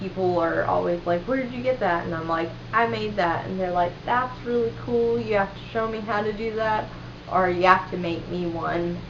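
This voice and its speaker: Over noticeable background noise and audible room echo, a woman with a slight Southern US accent speaks at a moderate pace, her fairly low pitch carrying lively intonation. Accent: slight Southern twang. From US South, western North Carolina. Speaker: vlogger. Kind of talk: casual chat. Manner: casual, filler-heavy.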